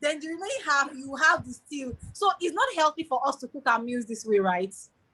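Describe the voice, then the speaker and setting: A woman with a high pitch and a bright, sharp tone speaks at a fairly quick pace in a raised, projected voice. Her intonation is lively and her loudness swings widely. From Nigeria (Yoruba). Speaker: webinar host. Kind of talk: webinar panel interview.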